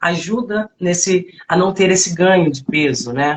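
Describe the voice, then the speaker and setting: A woman talks at a medium pitch, with ordinary variation in it. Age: 40s. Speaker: fitness coach. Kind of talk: live stream talk. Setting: online live stream. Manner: halting, many fillers.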